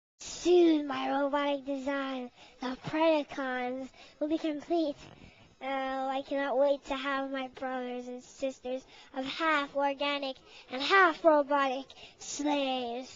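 A female-sounding, put-on character voice rises to a high pitch. It moves at a fairly slow pace. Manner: arrogant, taunting, defiant.

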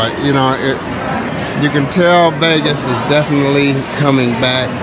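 A man speaks at a fairly slow pace with crowd noise in the background. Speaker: food vlogger filming. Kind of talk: casual vlog chat. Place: bar. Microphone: phone near.

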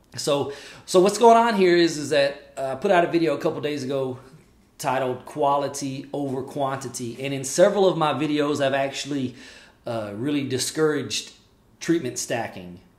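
Recorded with audible room echo, a man talks with ordinary pitch variation. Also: moderate pace. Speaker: respiratory care educator. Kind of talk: casual vlog chat. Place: home room.

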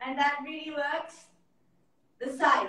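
A woman's high, raised and projected voice with a bright, sharp tone, a fairly slow pace and audible room echo. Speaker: guest. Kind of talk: casual live-stream chat. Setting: video call. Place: home room.

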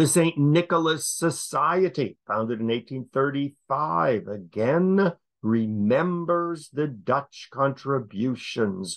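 An American-accented man's fairly high voice, very slow pace, lively intonation and hardly any pauses, over a quiet background. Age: 70s. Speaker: history lecturer. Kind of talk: lecture.

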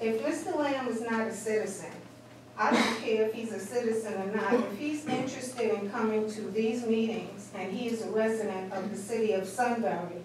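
There is audible room echo and noticeable background noise. A woman speaks with ordinary pitch variation. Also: moderate pace. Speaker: resident giving public comment. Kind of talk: public comment at meeting. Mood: aggrieved, complaining. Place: meeting room. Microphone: camera far.

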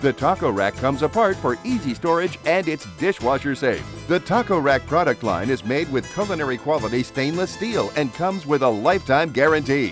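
Over music in the background, a man with a fairly high pitch and an upbeat tone talks at a fairly quick pace with hardly any pauses and very wide pitch swings. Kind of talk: infomercial read.

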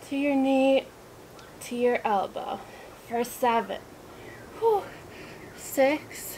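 Over light background noise, a woman speaks very slowly in a high pitch with lively intonation. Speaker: fitness instructor. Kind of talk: workout instruction with counting. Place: garden.

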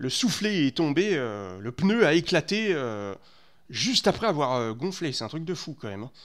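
Against a quiet background, a man speaks at a fairly slow pace with very wide pitch swings. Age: 30s. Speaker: gaming streamer. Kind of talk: live stream commentary. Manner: halting, many fillers and repetitions. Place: home room. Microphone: headset.

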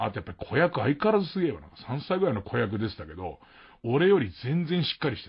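At a very fast pace, a man at medium pitch shows vocal fry, very wide pitch swings, and big swings in loudness. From Tokyo. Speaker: radio host. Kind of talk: casual chat. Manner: casual.

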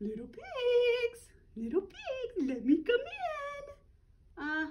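Put-on character voice, pitched extremely high. It swings very widely in pitch. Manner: sweet, coaxing.

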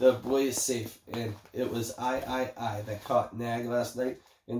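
The speaker is reading. It is plain reading aloud.

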